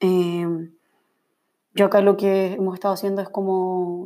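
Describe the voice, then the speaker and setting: On a very clean recording with a silent background, a woman with a Chilean accent speaks at a fairly slow pace in a medium pitch, her tone dark and mellow and her intonation monotone and flat. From Chile, Valparaíso region. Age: 20s. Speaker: podcaster and journalist. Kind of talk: casual solo monologue. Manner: laughs often.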